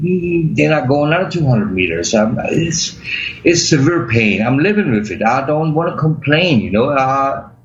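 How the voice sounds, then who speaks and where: At a moderate pace and with lively intonation, a man speaks amid noticeable background noise and audible room echo. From Germany. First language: German. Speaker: accident survivor, medical cannabis patient. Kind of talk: interview. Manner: halting.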